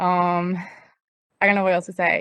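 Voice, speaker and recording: A woman's medium-pitched voice with a slight Puerto Rican accent. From Puerto Rico. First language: Spanish. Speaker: graduate intern and student advocate. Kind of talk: welcome introduction on video call. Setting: outdoors, video call.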